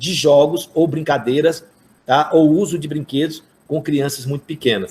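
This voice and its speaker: In a plain, everyday voice, a man talks at a fairly slow pace and a fairly high pitch. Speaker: university professor of physical education. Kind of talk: online workshop lecture.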